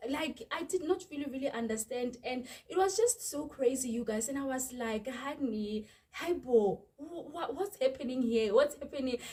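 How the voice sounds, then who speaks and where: A woman with a South African accent, high-pitched, at a moderate pace with ordinary pitch variation. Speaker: YouTuber. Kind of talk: storytime vlog. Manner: animated.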